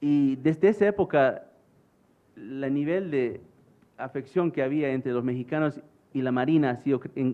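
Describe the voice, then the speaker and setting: The man's pitch is fairly high, with ordinary variation. He speaks at a moderate pace. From United States, Bolivian parents. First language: English/Spanglish (speaking Spanish). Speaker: conference speaker, former US Marine. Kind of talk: conference talk. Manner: halting, many fillers.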